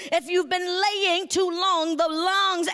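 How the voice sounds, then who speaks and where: An extremely high-pitched woman with a Georgia accent, speaking at a very slow pace. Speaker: pastor. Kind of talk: sermon.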